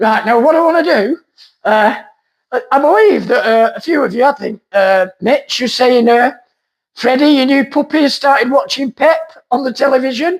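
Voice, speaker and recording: This squeaky voice moves through ordinary pitch variation. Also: man. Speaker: vlogger, gardener. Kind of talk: casual vlog talk to camera. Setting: outdoors in garden.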